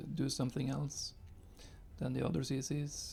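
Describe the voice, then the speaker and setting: A man's medium-pitched voice with a non-native accent at a moderate pace, music playing behind him. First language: not English. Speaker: gaming youtuber. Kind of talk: gameplay commentary. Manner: halting, many fillers. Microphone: new recording setup after software crash.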